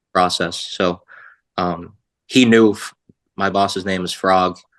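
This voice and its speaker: A man with a Boston accent speaks at a very deep, low pitch. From Boston area. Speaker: sports podcast guest, former equipment staffer. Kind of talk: casual chat.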